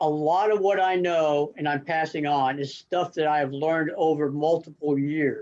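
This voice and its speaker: In a plain, everyday voice with an American accent, a man with a fairly high pitch speaks at a moderate pace with fairly even intonation and hardly any pauses. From Arizona. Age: 60s. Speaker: tournament angler. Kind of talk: podcast interview.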